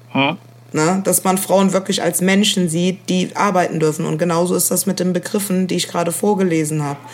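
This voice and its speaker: Over noticeable background noise, a woman talks at a fairly low pitch. Her pace is fairly quick and her intonation fairly even. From Germany, Rhineland-Palatinate (Koblenz). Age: young. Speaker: podcast co-host. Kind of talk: casual chat. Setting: remote recording.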